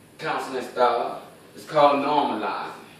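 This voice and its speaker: A fairly high-pitched man speaks at a moderate pace amid noticeable background noise. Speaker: addictions professional. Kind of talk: class informative speech.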